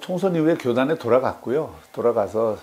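With lively intonation, this man keeps his delivery at a moderate pace. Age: 60s. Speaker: politician. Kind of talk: interview answer. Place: meeting room. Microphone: lapel.

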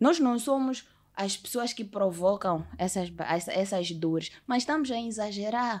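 The very clean recording, with a silent background, carries a woman's medium-pitched voice. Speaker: singer, actress and TV presenter. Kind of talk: casual chat.

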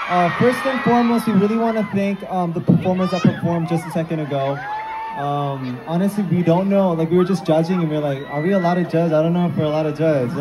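Crowd noise sits in the background as the speaker goes at a very fast pace. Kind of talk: stage talk to audience. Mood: excited, a bit nervous. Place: stage.

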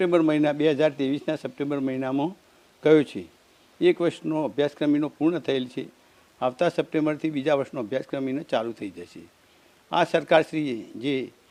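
A man speaks in a dark, mellow tone, his loudness swinging widely from soft to loud. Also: fairly high pitch for a man, ordinary pitch variation. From Gujarat, India (Patan district). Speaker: parent of scholarship recipient. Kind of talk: testimony. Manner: halting.

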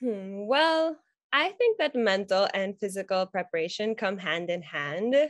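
A woman speaks at a fairly slow pace with very wide pitch swings. The sound is dry with no echo, over a quiet background. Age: 20s. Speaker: beauty pageant candidate. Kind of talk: interview. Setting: video call. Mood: warm, earnest, smiling. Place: home room. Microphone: video call.

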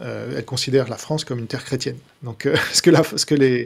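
The speaker talks at a very fast pace in a somewhat breathy voice with fairly even intonation. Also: man. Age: 40s. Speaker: author and critic of religion. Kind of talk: casual live discussion.

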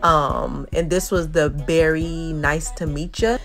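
A woman's voice with faint music in the background. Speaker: food reviewer. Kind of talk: casual vlog chat. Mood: relaxed, pleased. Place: car. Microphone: phone near.

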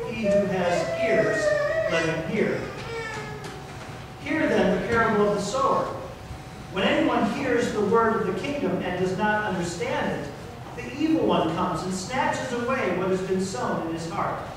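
A man at a moderate pace with long, frequent pauses, strong room echo and noticeable background noise. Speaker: pastor. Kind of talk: scripture reading. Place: church.

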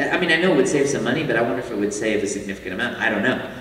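There is audible room echo as a man speaks with lively intonation. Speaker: guest. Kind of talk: panel talk to audience. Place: hall.

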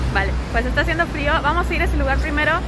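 A woman is heard over loud background noise. The sound is dry with no echo. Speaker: travel vlogger. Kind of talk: casual vlog chat. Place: street. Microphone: phone near.

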